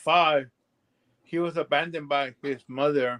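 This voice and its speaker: Speaking in a strong Mexican accent, the voice moves at a fairly slow pace with fairly even intonation. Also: man. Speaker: livestream participant. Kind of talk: casual chat. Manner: halting.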